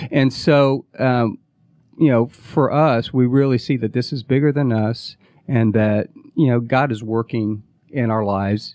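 In an ordinary speaking voice, a man talks at a fairly slow pace, his medium pitch moving with fairly even intonation. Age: 40s. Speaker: business co-founder, former touring musician. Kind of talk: interview.

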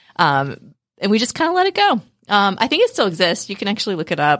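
A woman at a fairly quick pace, on a very clean recording with a silent background. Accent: American. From West Virginia. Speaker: tech startup CEO. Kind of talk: podcast interview. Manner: hesitant, many fillers.

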